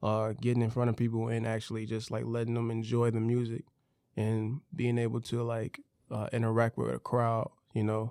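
Medium in pitch, a man speaks at a moderate pace in a dark, mellow tone with monotone, flat intonation. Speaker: music artist and producer. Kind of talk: casual interview.

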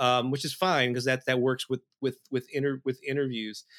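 A man's fairly quick speech is captured in a very clean recording with a silent background. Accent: American. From US Midwest, St. Louis. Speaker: music marketing expert and author. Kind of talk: interview.

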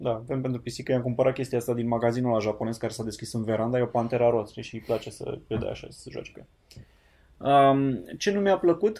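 At a fairly quick pace, a man speaks in a dark, mellow tone. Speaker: podcast host. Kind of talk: casual chat.

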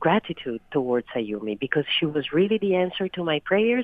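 Her very deep, low pitch makes very wide swings as a woman speaks in an Italian accent. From Italy, Turin. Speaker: a cappella singer. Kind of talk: recorded interview.

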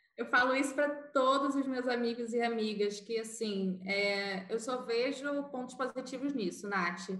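A woman's high-pitched voice with hardly any pauses, in audible room echo and noticeable background noise. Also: ordinary pitch variation, fairly slow pace. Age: 20s. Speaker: advertising professional. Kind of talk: casual chat.

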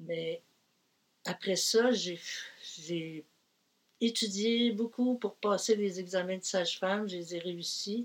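Speaking at medium pitch with ordinary pitch variation, a woman goes at a very slow pace with long, frequent pauses. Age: 70s. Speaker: retired midwife. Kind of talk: interview.

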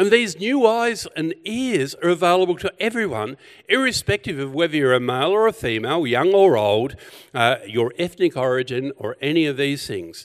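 Over a quiet background, a man with an Australian accent and a fairly high pitch speaks at a moderate pace, his voice moving in very wide pitch swings. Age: 60s. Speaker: pastor. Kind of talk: sermon.

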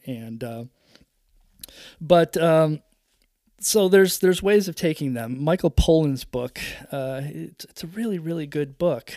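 In an American accent, the speaker talks at a fairly slow pace with vocal fry, a dark, mellow tone and ordinary pitch variation. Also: man.

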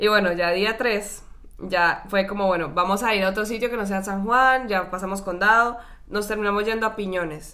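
Over audible room echo, a woman of medium pitch speaks at a moderate pace in a bright, sharp tone with fairly even intonation. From Colombia, Cali. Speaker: podcast co-host. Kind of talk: casual chat.

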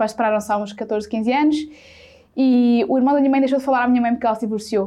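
Against noticeable background noise, a woman speaks at a very fast pace in a high pitch with fairly even intonation. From central Portugal (Sátão, near Viseu). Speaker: digital content creator. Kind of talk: casual interview.

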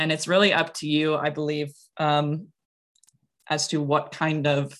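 A woman's very deep, low voice in an American accent, with vocal fry and a fairly slow pace. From US Midwest, Wisconsin. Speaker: comic creator and art teacher. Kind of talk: casual interview.

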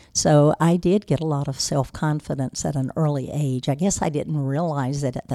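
In an eastern North Carolina accent, a woman speaks with a very deep, low pitch, a dark, mellow tone and fairly even intonation, on a very clean, dry, close recording with a silent background and no echo. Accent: eastern North Carolina Southern. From US South (eastern North Carolina). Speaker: business owner. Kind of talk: interview.

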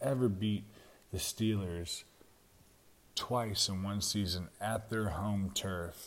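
At a very slow pace, a man with a Southern US accent speaks in a fairly low voice with fairly even intonation. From Jacksonville, Florida. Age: 30s. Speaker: sports podcast host. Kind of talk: solo sports commentary.

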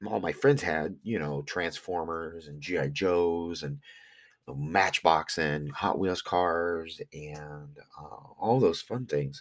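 In a very clean recording with a silent background, a man speaks very slowly at a very deep, low pitch with ordinary pitch variation. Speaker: podcast host and online reseller. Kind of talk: casual monologue. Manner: hesitant, many fillers.

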